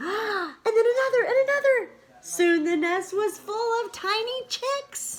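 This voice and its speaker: Putting on a squeaky character voice, a woman speaks at an extremely high pitch with lively intonation and a fairly slow pace. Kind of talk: bedtime story read aloud to a child. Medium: read story. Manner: warm, gentle.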